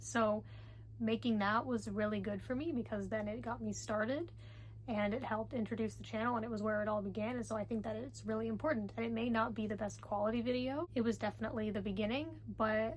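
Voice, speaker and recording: Soft-spoken, a woman talks at a very fast pace. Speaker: book vlogger. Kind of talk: casual vlog talk.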